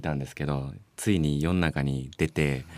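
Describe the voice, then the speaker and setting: On a very clean recording with a silent background, a man talks at a moderate pace in a very deep, low pitch. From Japan, Osaka with school years in Ehime. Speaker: musician, bassist. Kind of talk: casual interview chat. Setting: radio studio.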